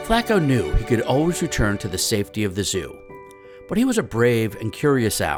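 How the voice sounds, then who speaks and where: With music in the background, a man speaks at medium pitch with lively intonation. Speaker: children's book author reading his own book. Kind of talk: children's picture book read-aloud.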